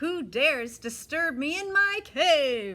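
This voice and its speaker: A woman's growling, put-on character voice, high in pitch with very wide swings. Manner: growling, menacing.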